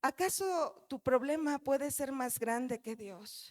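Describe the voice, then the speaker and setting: A woman's high, animated voice with ordinary pitch variation, dry and close with no echo. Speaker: pastor. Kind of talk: sermon. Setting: church.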